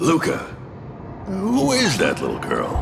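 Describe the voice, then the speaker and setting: A man puts on a cartoonish character voice with a high pitch. He speaks at a fairly slow pace over clear background noise. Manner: gruff, impatient, boastful.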